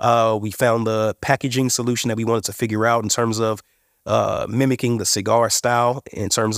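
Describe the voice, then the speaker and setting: The man speaks at medium pitch with a monotone, flat intonation. His pace is fairly quick. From Indiana, US Midwest. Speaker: cannabis company CEO. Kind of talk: interview.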